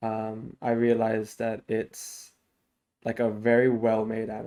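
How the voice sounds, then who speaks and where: Slow-paced and flat in intonation, a man speaks in a dark, mellow tone. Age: 20s. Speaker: podcast co-host, university student. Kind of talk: casual chat.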